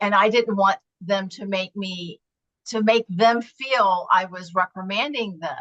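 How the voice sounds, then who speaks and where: A woman with an unremarkable speaking voice talks at medium pitch with ordinary pitch variation and big swings in loudness, in a dry, close sound with no echo. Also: fairly slow pace. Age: 60s. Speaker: club member and student. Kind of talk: casual chat.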